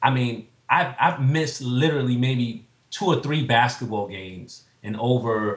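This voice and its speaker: Somewhat breathy and fairly slow, a man talks in a New York accent with ordinary pitch variation. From Staten Island, New York. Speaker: entrepreneur, fitness coach, navy veteran. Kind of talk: casual interview chat.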